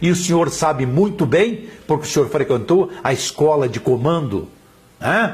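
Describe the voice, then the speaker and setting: An ordinary speaking voice from a man with a fairly high pitch, who talks at a fairly slow pace with lively intonation. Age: 60s. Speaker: journalist and blogger. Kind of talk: political commentary monologue. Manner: forceful.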